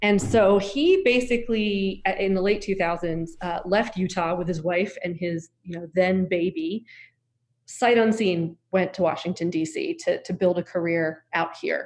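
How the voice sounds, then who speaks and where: In a normal speaking voice, a woman with a medium pitch talks at a fairly slow pace with ordinary pitch variation over a quiet background. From US Southeast. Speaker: nonprofit executive director. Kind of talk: interview.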